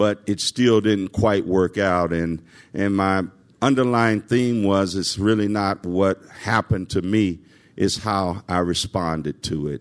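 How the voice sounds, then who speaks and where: A man with a Southern US accent at a fairly slow pace, fairly low in pitch with ordinary variation, in a dry, close sound with no echo and a quiet background. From US South, Nashville, Tennessee. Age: 60s. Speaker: civil servant. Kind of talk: testimony. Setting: stage with audience. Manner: halting.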